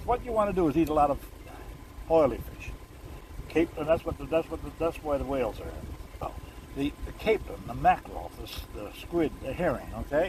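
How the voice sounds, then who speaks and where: A man speaks at a fairly quick pace, with long, frequent pauses and big swings in loudness. Noticeable background noise runs under the recording. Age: 90s. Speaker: retired TV producer and host. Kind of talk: casual chat. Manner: halting.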